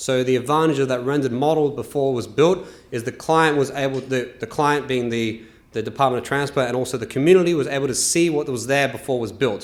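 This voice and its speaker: A man with an Australian accent talks very fast at a medium pitch, with audible room echo. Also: fairly even intonation. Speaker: transportation engineer. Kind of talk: conference presentation.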